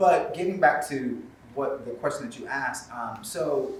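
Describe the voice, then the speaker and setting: A man with an American accent, noticeable background noise and audible room echo. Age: 50s. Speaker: theatre company leader. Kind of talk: panel discussion.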